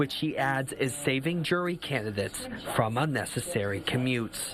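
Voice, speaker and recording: A man talks at a moderate pace with lively intonation. He has a normal speaking voice. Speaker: television political reporter. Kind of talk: TV news package narration.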